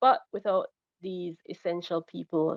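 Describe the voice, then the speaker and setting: A woman's fairly low-pitched, unremarkable speaking voice at a fairly slow pace. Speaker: government crime data coordinator. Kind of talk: webinar presentation.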